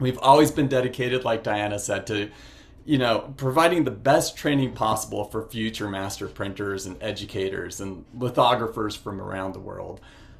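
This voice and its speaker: A normal speaking voice at a moderate pace, with ordinary pitch variation and big swings in loudness. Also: man, medium pitch for a man. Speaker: master printer and printmaking educator. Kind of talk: virtual presentation with slides. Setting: video call.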